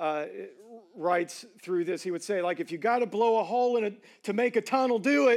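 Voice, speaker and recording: The speaker talks at a moderate pace with ordinary pitch variation in a Southern US accent. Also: man. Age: 30s. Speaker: pastor. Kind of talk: sermon. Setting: church. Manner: casual, conversational.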